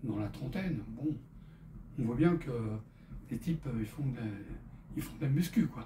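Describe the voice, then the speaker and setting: A man talks at a fairly slow pace. Room echo can be heard. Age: 70s. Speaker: fitness instructor for seniors. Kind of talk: exercise tutorial with casual chat. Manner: halting, many hesitations.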